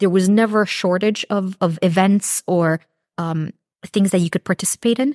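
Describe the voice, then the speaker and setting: A woman with an unremarkable speaking voice speaks at a moderate pace and a medium pitch, with fairly even intonation, in a dry, close sound with no echo. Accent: Canadian. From Canada. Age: 30s. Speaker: pastry student and baker. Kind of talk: testimony.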